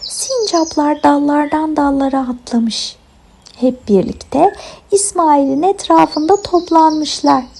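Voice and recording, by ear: Slow and slightly mellow, the voice carries vocal fry. Its pitch varies in an ordinary way. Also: woman, high pitch for a woman.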